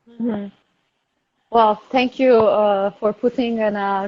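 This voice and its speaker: Speaking at a moderate pace with a Turkish accent, the voice shows ordinary pitch variation. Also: woman. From Turkey. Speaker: product service system designer. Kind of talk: interview.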